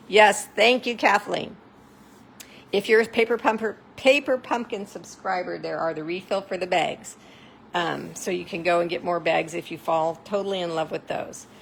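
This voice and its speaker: At a moderate pace, a woman with a medium pitch and vocal fry speaks with ordinary pitch variation. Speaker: craft demonstrator. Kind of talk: live craft tutorial. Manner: animated.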